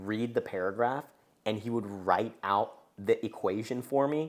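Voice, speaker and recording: An unremarkable speaking voice from a man with a General American accent, medium pitch and ordinary pitch variation comes through on a very clean recording with a silent background. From US, moved from Japan at six. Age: 20s. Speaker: podcast host, ex-investment banker. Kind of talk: casual chat.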